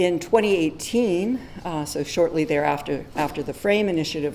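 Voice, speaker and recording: The speaker is soft-spoken. Audible room echo surrounds the voice. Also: woman. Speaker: physician and medical educator. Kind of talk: conference talk. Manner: hesitant with many fillers.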